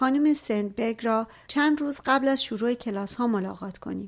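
Fairly even intonation at a moderate pace in a plain, everyday voice. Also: woman. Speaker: audiobook narrator. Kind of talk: reading aloud.

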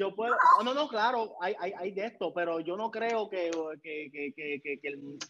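Speaking in a Puerto Rican accent, a man uses a high pitch, a fairly slow pace and lively intonation. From Puerto Rico. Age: 30s. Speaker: photographer and video director. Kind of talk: interview conversation.

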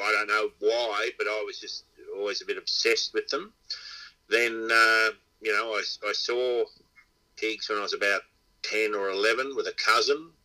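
With an Australian accent, a man speaks at a fairly slow pace, pausing long and often. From Inverell, New South Wales, Australia. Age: 60s. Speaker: dog trainer and pig hunter. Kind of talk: casual interview chat.

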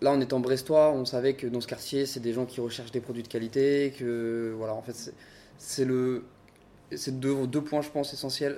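A man at medium pitch, dark and mellow in tone, with monotone, flat intonation at a moderate pace. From Paris, France. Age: 20s. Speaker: restaurant co-owner. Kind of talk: interview.

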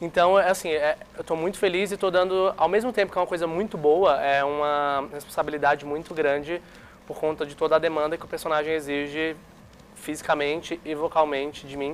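With a normal speaking voice, a man speaks at a fairly quick pace and fairly high pitch, his intonation fairly even but his loudness swinging widely. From Brazil, Fortaleza and Brasília. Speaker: musical theatre actor. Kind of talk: interview.

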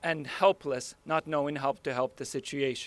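A man speaks with a bright, sharp tone at a fairly slow pace. The sound is dry and close with no echo. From Ukraine. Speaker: nurse. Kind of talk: public speech.

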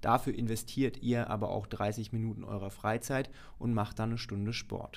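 Here a man speaks at a moderate pace and medium pitch. His intonation is monotone and flat. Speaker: podcast host. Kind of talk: casual chat.

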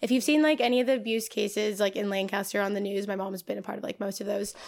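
A woman speaks at medium pitch with an American accent. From Los Angeles area, California. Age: 20s. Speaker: cannabis budtender and graduate student. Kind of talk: casual chat.

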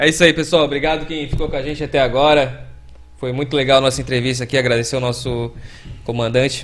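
The speaker talks at a very fast pace with fairly even intonation. Vocal fry runs through the voice. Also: man, medium pitch for a man. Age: 40s. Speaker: podcast host. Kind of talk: casual chat.

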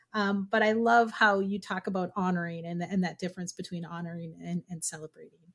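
A woman with fairly even intonation in a very clean recording with a silent background. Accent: Minnesotan. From Minnesota. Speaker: podcast host, language educator. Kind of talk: casual interview chat.

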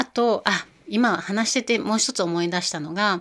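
A woman at a moderate pace, on a very clean recording against a silent background. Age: 40s. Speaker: podcast host, yoga and Ayurveda community organizer. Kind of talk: casual monologue. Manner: halting, many fillers.

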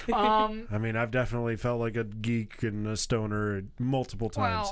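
A man at medium pitch and moderate pace, with monotone, flat intonation. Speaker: radio talk show co-host.

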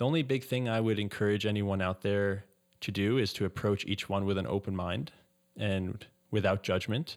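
A plain, everyday voice from a man, fairly low in pitch, with ordinary pitch variation and a fairly quick pace. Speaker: meditation teacher and tennis coach. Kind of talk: guided meditation. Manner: gentle, measured.

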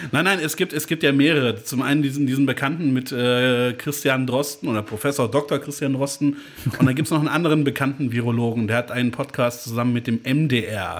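Over noticeable background noise, a man with a medium pitch speaks at a fairly quick pace, keeping his intonation fairly even and his loudness very even. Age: 30s. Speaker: podcast co-host. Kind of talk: casual chat.

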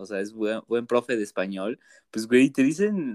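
Speaking in a Mexican accent, a man keeps a medium pitch and a moderate pace. The sound is dry and close, with no echo. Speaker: podcast co-host. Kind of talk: casual chat.

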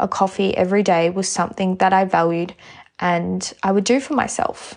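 A woman speaks with an Australian accent at a medium pitch. Her intonation stays fairly even. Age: 20s. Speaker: podcast host. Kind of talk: casual monologue.

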